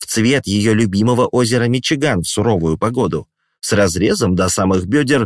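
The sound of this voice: The background is quiet as someone reads in an unforced voice with ordinary pitch variation.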